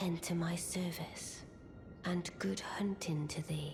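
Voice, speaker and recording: A put-on character voice at middle pitch, delivered at a fairly slow pace over loud background noise. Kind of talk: archaic formal speech. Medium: video game. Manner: cold, regal, measured.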